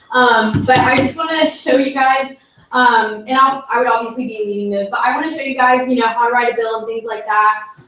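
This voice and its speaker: Her voice high and her intonation fairly even, a woman speaks amid noticeable background noise and audible room echo. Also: fairly quick pace. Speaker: student senator, candidate for speaker pro tempore. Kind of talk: election speech and Q&A at student senate meeting. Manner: casual, filler-heavy.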